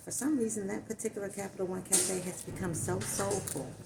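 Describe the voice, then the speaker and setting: Noticeable background noise surrounds a woman who talks at a moderate pace. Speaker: vlogger. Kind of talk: casual storytelling. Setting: cafe, then outdoors. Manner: loud.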